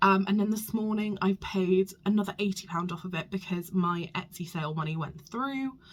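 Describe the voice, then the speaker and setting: Her pitch is medium, and this woman's voice shows ordinary pitch variation. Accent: British. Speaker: small business vlogger. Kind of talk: casual vlog. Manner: hesitant with many ums.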